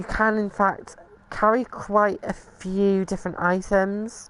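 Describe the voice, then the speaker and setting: The woman has a medium-pitched voice with a British accent. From Britain. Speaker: video game streamer. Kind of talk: gameplay tutorial commentary. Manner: casual, hesitant with fillers.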